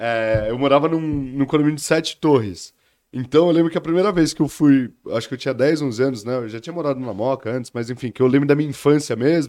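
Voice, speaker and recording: In a very clean recording with a silent background, a man with a fairly high pitch and a dark, mellow tone talks at a very fast pace with ordinary pitch variation. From São Paulo, Brazil. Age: 30s. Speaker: economist. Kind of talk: interview.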